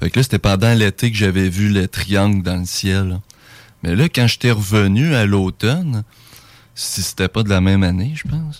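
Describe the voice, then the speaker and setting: A man speaks with a Quebec accent and a fairly low pitch, with ordinary pitch variation. The sound is dry and close, with no echo. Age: 20s. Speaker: UFO witness. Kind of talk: testimony. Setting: studio.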